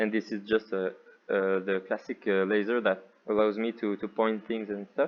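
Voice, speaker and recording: A man with a French accent speaks at a moderate pace in a fairly low voice. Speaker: VR developer intern. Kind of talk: software demo narration. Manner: hesitant, unfocused.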